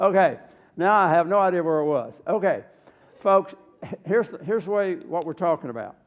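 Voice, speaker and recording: A man with a Southern US accent speaks in a high pitch with ordinary pitch variation. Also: fairly quick pace. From US South. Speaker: health seminar presenter. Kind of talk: health seminar.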